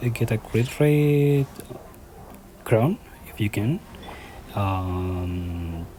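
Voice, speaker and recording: With a non-native accent, the speaker goes at a very slow pace against noticeable background noise. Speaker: gaming YouTuber. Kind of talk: game tutorial voiceover. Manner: halting.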